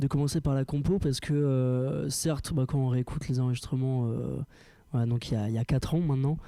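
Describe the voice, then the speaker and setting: A man speaks at a fairly quick pace in a medium pitch, with a dark, mellow tone and very even loudness. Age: young. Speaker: rock band singer. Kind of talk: interview. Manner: halting.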